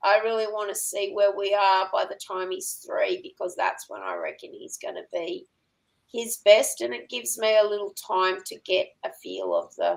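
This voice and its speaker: A woman with an Australian accent at a moderate pace, her loudness swinging widely. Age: 60s. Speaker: working dog trainer and farmer. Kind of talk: podcast interview.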